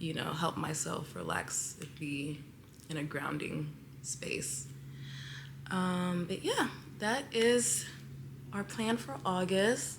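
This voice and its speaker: A woman speaks at a very slow pace, leaving long, frequent pauses. Audible room echo surrounds her voice. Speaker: lifestyle vlogger. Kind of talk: casual vlog monologue. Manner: halting, many fillers.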